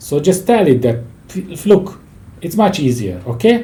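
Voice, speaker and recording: A man with a non-native accent, very wide pitch swings and a moderate pace, with audible room echo. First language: not English. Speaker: leadership and project management expert. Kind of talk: interview conversation.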